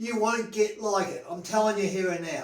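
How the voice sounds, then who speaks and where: The speaker is a man with a high voice. His pitch varies in an ordinary way. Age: 70s. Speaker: health and stretching enthusiast. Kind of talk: casual talk to camera. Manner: blunt, emphatic, sweary.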